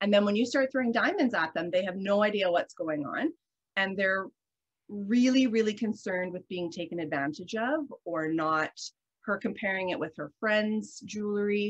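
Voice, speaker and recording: Against a quiet background, a woman in a Canadian accent speaks at a moderate pace with lively intonation. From Canadian Prairies. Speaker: guest. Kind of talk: casual interview. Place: home room. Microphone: video call.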